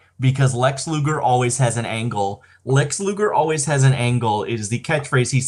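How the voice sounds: A natural reading voice. Pitch varies in an ordinary way.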